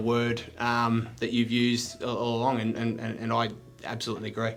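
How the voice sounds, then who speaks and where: Noticeable background noise runs under this clip. A man speaks at a fairly quick pace. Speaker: real estate agent and auctioneer. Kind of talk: interview answer.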